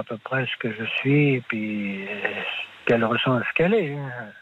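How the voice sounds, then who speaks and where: Medium-pitched male voice amid noticeable background noise. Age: 50s. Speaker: market gardener. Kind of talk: phone-in testimony. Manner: halting.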